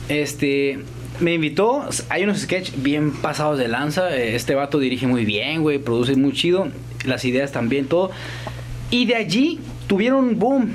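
A man with a Mexican accent at a fairly slow pace, very even in loudness, with noticeable background noise and audible room echo. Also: fairly high pitch for a man, lively intonation. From Mexico, Guanajuato. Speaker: actor and comedian. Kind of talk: casual chat.

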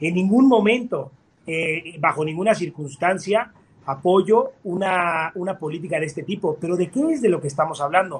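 His pace is moderate. The man's voice sits high, with ordinary pitch variation. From Mexico. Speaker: architect. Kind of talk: debate. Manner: halting.

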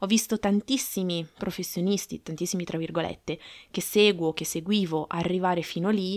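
In an ordinary speaking voice, a woman talks at a fairly quick pace with ordinary pitch variation. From Aosta Valley, northern Italy. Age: 30s. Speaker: marketing podcaster. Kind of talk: solo podcast monologue.

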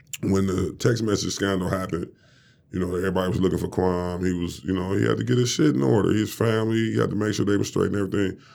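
Speaking at a very fast pace with an American accent, a man uses lively intonation over a very deep, low pitch. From Detroit, Michigan. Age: 40s. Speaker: former basketball player. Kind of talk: casual interview. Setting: studio.

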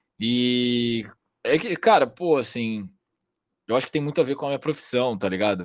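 A man speaks at a medium pitch and a moderate pace, with lively intonation and long, frequent pauses. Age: 20s. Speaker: trader. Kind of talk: casual chat.

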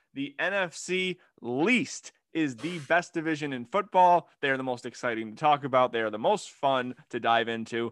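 This man has a normal speaking voice, fairly high in pitch, with lively intonation at a moderate pace. The recording is very clean with a silent background and a dry, close sound with no echo. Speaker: sports podcast host. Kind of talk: casual chat. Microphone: new microphone.

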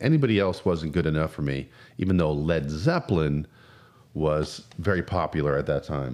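A man with an American accent at a moderate pace. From New Jersey. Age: 50s. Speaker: podcast host. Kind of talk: casual monologue.

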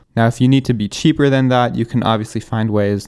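An unremarkable speaking voice, fairly quick and fairly even in intonation, in a very clean recording with a silent background. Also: man. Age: young. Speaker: van conversion podcaster. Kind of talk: solo podcast tutorial. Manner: casual, conversational.

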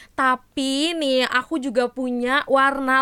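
Raised and projected, a woman's voice rings out at a high pitch with a bright, sharp tone. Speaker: podcast host. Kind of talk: casual chat. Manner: animated.

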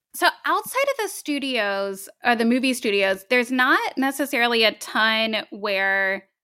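On a very clean recording with a silent background, a woman with an American accent speaks slowly-ish at a fairly high pitch, her tone bright and sharp and her intonation lively. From Tennessee (born Long Beach, California). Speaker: travel blogger and podcaster. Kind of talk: casual interview chat.

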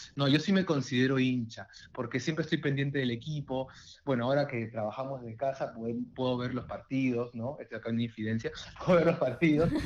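This man has an unremarkable speaking voice of medium pitch. He talks at a fairly quick pace with ordinary pitch variation. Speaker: football fan guest. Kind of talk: casual chat.

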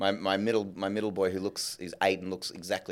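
The speaker talks at a very fast pace with an Australian accent. The recording is very clean, with a silent background. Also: man. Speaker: film and TV director. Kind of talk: interview on stage. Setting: stage with live audience.

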